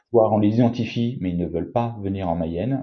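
A man speaks at a fairly quick pace in a fairly low pitch with ordinary variation. His voice is somewhat breathy. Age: 40s. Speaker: company co-founder. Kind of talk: interview. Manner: hesitant, with fillers and repetitions.

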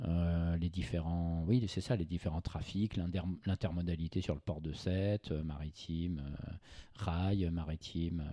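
A man's very deep, low voice with a dark, mellow tone, fairly even intonation and a very slow pace. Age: 40s. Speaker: journalist and agency founder. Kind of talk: interview. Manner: halting, frequent repetitions.

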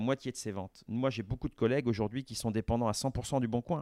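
Fairly quick and fairly even in intonation, a man's dark, mellow voice comes through dry and close, with no echo and a quiet background. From France, Vendée. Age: 50s. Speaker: business executive. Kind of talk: interview.

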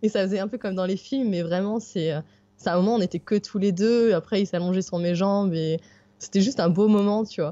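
A woman with a plain, everyday voice speaks at a medium pitch and a fairly quick pace. Her intonation stays fairly even. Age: 30s. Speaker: backpacking traveller with her dog. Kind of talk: interview, casual chat.

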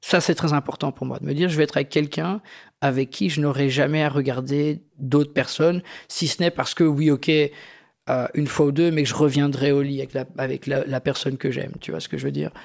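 Over a silent background in a very clean recording, a man in an ordinary speaking voice talks fairly quickly with a fairly high pitch and fairly even intonation. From Belgium, Algerian immigrant family. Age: 40s. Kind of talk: personal testimony. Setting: living room recording.

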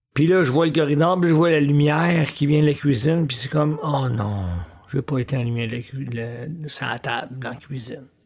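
Speaking with a Quebec accent, a man with a fairly high pitch talks at a moderate pace. His voice is somewhat breathy, with ordinary pitch variation. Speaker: podcast host. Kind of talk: solo monologue podcast. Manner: casual, conversational.

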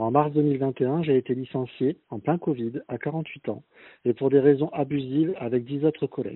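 At a fairly slow pace, a man speaks in an unremarkable speaking voice pitched fairly high. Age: 50s. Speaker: laid-off job seeker. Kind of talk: recorded testimony.

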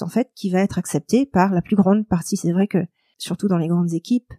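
A woman's medium-pitched voice with a dark, mellow tone and ordinary pitch variation, in a dry, close sound with no echo. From Mauritius. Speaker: lawyer. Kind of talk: interview.

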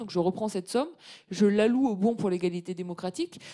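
A woman talks at a very fast pace. Her tone is dark and mellow. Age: 30s. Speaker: economist and professor. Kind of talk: interview on a live webcast.

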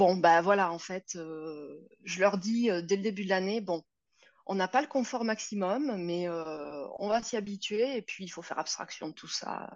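A woman with a plain, everyday voice, medium pitch and ordinary pitch variation. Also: fairly slow pace. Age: 40s. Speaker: yoga teacher. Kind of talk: interview.

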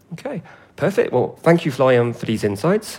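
A man with an English accent, medium pitch and a fairly quick pace. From England. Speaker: podcast host. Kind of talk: scripted narration. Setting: outdoors.

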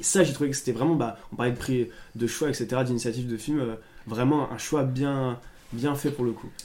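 At a moderate pace, a man speaks at a medium pitch with fairly even intonation and a dark, mellow tone. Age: 20s. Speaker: podcast co-host. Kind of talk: casual chat.

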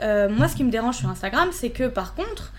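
This is an unremarkable speaking voice moving at a fairly quick pace. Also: woman. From southern France. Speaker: Instagram influencer. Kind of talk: casual chat.

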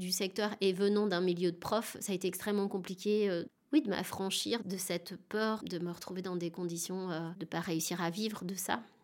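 An ordinary speaking voice at a moderate pace, with fairly even intonation and hardly any pauses. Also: woman. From France, Dijon suburbs. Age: 40s. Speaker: actress and theatre director. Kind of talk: interview.

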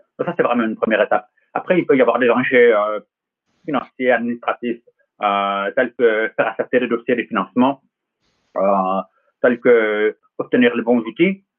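The speaker goes at a moderate pace with ordinary pitch variation and long, frequent pauses. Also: man, medium pitch for a man. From US West Coast, Los Angeles. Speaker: tech company founder. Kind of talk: interview.

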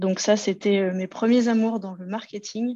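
A woman at medium pitch, fairly slow, in a monotone, flat intonation. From central France (Loir-et-Cher). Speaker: marketing manager. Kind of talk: interview.

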